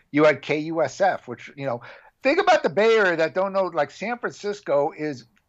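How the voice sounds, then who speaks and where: The speaker has a Californian accent and a moderate pace. The intonation is lively. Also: man. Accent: Californian American. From Southern California, Orange County. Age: 50s. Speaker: metal documentary filmmaker and podcast host. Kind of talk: casual interview chat.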